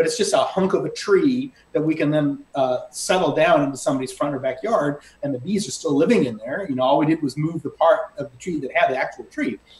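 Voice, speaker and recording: Clear background noise is present throughout. Over it, a man speaks extremely quickly. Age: 60s. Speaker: beekeeper. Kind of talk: casual interview.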